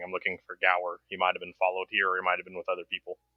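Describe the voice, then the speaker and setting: A man rattles off words at a very fast pace in a put-on character voice. His pitch sits very deep and low. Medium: actual play.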